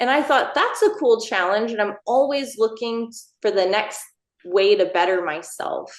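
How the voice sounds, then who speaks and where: With a Texan accent, a woman speaks at a moderate pace in a fairly high pitch, her pitch varying in an ordinary way. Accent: Texan, Southern US. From Texas, Northeast Texas. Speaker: line dance instructor and choreographer. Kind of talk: podcast interview.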